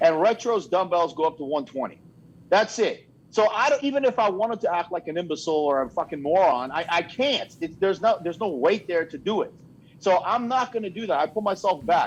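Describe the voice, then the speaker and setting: Lively intonation marks this delivery, which runs at a fairly quick pace. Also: man, high pitch for a man. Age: 50s. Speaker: bodybuilder. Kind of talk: casual chat.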